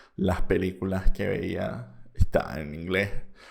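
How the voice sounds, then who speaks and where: Speaking with a Venezuelan accent, a man keeps a fairly slow pace. His pitch is fairly low, with ordinary variation. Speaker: podcast host. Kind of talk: casual monologue.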